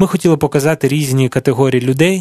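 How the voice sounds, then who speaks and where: A man with a normal speaking voice at medium pitch talks at a fairly quick pace with ordinary pitch variation, the sound dry and close with no echo. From Ukraine, Dnipro. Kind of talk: radio interview. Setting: studio.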